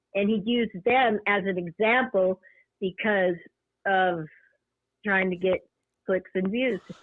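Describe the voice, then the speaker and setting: A woman's medium-pitched voice at a fairly slow pace, with very even loudness and long, frequent pauses. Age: 60s. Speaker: caller. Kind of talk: casual chat.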